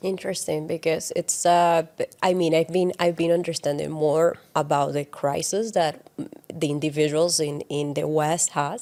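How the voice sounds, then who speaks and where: A dark, mellow tone with a Spanish accent, fairly even intonation, a moderate pace and hardly any pauses. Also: woman, fairly low pitch for a woman. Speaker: podcast co-host. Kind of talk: casual chat.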